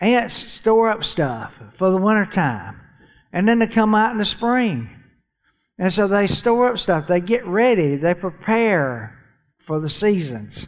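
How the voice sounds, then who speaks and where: A high-pitched man with a Southern US accent, lively intonation and a fairly slow pace, on a very clean recording with a silent background. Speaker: church finance speaker. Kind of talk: church teaching session.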